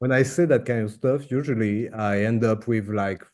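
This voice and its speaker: A man speaks in a French accent at a fairly slow pace. His dark, mellow tone sits at a fairly low pitch with ordinary pitch variation. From France. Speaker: interviewer, miniature painting hobbyist. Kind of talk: casual interview host.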